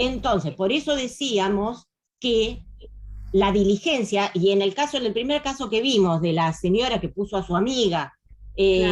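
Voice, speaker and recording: A woman speaks in an ordinary speaking voice at medium pitch, with lively intonation, very even loudness and a moderate pace. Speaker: lawyer giving a talk. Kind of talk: lecture with Q&A.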